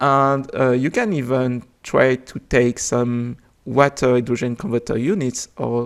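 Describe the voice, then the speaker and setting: The fairly slow speech carries a French accent, on a very clean recording with a silent background. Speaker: game developer. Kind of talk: unscripted video explanation. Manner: hesitant, many filler sounds.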